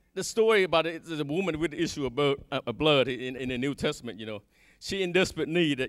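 A man talks at a fairly quick pace over a quiet background. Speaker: church minister. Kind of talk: sermon. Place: church. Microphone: handheld.

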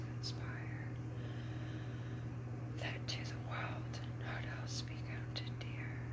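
A voice is whispering. Behind it, background noise is noticeable. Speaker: ASMR creator. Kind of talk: poetry reading. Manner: whispered.

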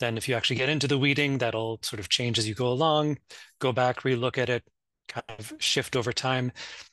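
A man with a Maritime Canadian accent, fairly quick pace, bright, sharp tone and fairly even intonation, in a dry sound with no echo over a quiet background. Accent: Canadian (Maritimes). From Nova Scotia, Canada. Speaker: academic map librarian. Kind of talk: conference panel presentation. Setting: video call. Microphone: video call.

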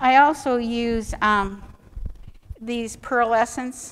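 This woman's voice sits fairly high and keeps a fairly even intonation. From US Midwest, Ohio (Cleveland). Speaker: watercolor artist and art teacher; art teacher. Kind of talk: painting demonstration. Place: hall.

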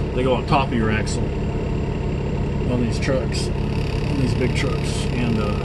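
A man speaks over loud background noise. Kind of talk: casual vlog chat. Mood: relaxed, day off. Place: car. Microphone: camera far.

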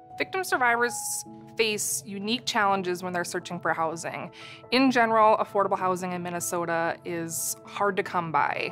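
A woman talks at a moderate pace in a fairly low voice. Clear music plays in the background. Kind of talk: interview answer. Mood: calm, serious. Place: studio.

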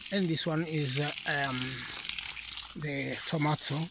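Slow pace over faint background noise

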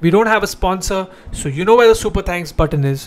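The man's voice sits high in pitch and moves at a fairly quick pace. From India. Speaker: comedian, show host. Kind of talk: casual chat with direct-to-camera announcements. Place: home room. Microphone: handheld.

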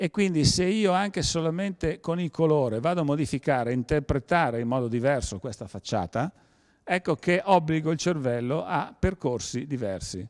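At a moderate pace, a man with a fairly high pitch speaks in a dry, close sound with no echo against a quiet background. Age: 60s. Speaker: perception designer and event organizer. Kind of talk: lecture. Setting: museum evening talk with audience. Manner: halting.

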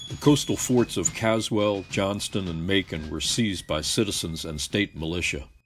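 With hardly any pauses, a man of fairly low pitch talks with lively intonation against noticeable background noise. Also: moderate pace. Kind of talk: scripted documentary narration. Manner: formal, measured, even-paced; authoritative, matter-of-fact.

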